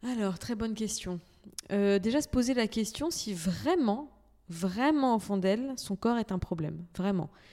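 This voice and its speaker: A woman with a plain, everyday voice speaks slowly at a fairly high pitch, her intonation lively. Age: 30s. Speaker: entrepreneur, cosmetics brand founder. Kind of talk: casual chat.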